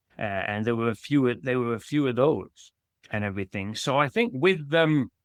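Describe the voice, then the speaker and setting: Speaking with a British accent, a man uses lively intonation at a moderate pace and medium pitch. The sound is dry and close with no echo, in a very clean recording with a silent background. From UK. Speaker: children's author. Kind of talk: podcast interview. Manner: halting, with many restarts.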